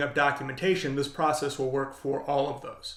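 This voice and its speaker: A man's voice is heard with audible room echo around it. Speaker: leadership coach. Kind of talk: tutorial. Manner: casual.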